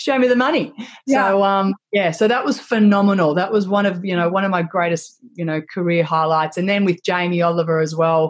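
Energetic and animated, a woman with an Australian accent speaks at a medium pitch with ordinary pitch variation and hardly any pauses. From Australia, Melbourne. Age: 40s. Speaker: social media influencer. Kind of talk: interview. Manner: energetic, animated.

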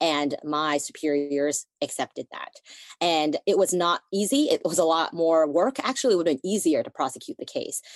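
A woman's normal speaking voice, fairly low in pitch, lively in intonation, at a moderate pace, with a dry, close sound and no echo. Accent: American. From United States. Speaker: prosecutor and podcast co-host. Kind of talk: interview conversation.

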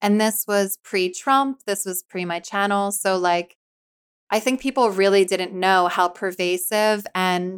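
Dry and close with no echo, in a very clean recording against a silent background, a woman with an American accent speaks in a normal speaking voice at medium pitch, with fairly even intonation and a fairly slow pace. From US Northeast, Philadelphia area. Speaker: author and YouTuber on faith. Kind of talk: casual interview chat.

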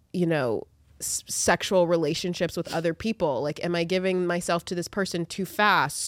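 In an American accent, an unremarkable speaking voice talks at a moderate pace on a very clean recording with a silent background. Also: woman. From US South, Atlanta suburbs. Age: 20s. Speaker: podcast co-host. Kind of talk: casual chat.

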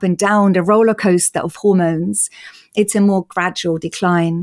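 In a very clean recording with a silent background, the speaker talks at a moderate pace in an Austrian accent, with monotone, flat intonation and a dry, close sound with no echo. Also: woman. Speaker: patient advocate. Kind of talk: interview.

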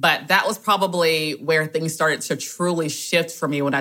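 A woman with a Southern US accent speaks in a bright, sharp tone at a moderate pace. Her intonation is fairly even, and the recording is very clean with a silent background. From US South, rural south Georgia. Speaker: guest sharing debt story. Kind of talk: testimony.

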